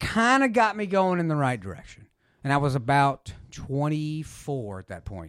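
Speaking fairly slowly, a man with a fairly high voice swings his pitch very widely. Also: very clean recording, silent background. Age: 40s. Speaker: former radio broadcaster. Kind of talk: testimony; casual chat.

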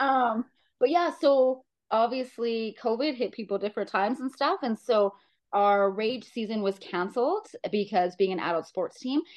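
A woman's fairly high voice in a Canadian Prairies accent, with lively intonation at a moderate pace. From Saskatchewan, Canada (small town). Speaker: amateur football player and coach. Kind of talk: interview.

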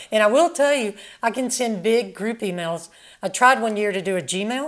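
Using a normal speaking voice, a woman talks fairly quickly, her fairly high pitch carrying lively intonation. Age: 60s. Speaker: former professional tennis player. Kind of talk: casual interview.

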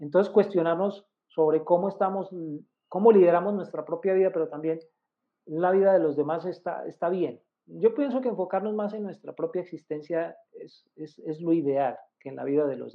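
A man's high-pitched voice with big swings in loudness. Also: ordinary pitch variation, moderate pace. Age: 50s. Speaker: numerologist. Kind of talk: tutorial.

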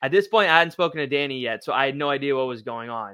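Talking at a very fast pace, this man has a bright, sharp tone and ordinary pitch variation. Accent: Canadian. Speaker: podcast host. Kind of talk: casual chat.

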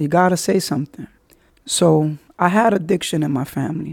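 A man with a New York accent speaks in a high voice. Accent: New York (Bronx). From New York City, the Bronx. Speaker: podcast host. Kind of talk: personal monologue. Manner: fast.

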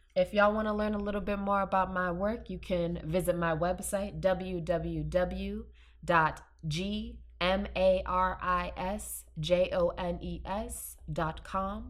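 A woman speaks at a very slow pace, and audible room echo hangs around her words. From New Orleans, Louisiana. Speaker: cultural anthropologist. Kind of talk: casual interview.

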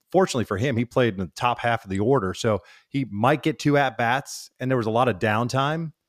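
In a very clean recording with a silent background and a dry, close sound with no echo, a man with an unremarkable speaking voice talks at a fairly quick pace, using medium pitch and ordinary pitch variation. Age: 50s. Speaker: baseball broadcaster. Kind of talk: casual interview chat.

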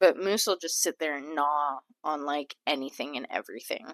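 A woman's very deep, low voice with a dry, close sound and no echo. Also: ordinary pitch variation, moderate pace. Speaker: podcast co-host. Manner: loud; loud, tends to yell into the mic.

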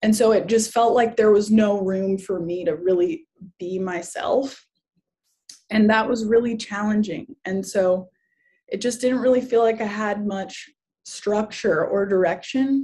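A woman speaks fairly slowly at a medium pitch. Her tone is dark and mellow and somewhat breathy. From Hawaii (Kauai). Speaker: healer and spiritual community leader. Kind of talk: casual interview conversation.

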